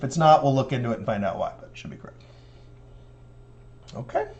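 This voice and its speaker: A man talks at a very fast pace with medium pitch and ordinary pitch variation. His loudness swings widely, and audible room echo surrounds the sound. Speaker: math professor. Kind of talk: lecture.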